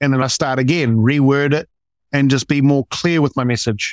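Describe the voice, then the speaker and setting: A man with an ordinary speaking voice, fairly high in pitch, at a moderate pace, in a dry, close sound with no echo. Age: 30s. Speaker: client in anger management program. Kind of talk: interview testimony.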